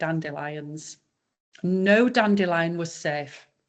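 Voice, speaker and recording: A woman speaks in a Yorkshire accent. Her intonation is lively. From Yorkshire, northern England. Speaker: raw dog food business owner. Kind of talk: podcast interview.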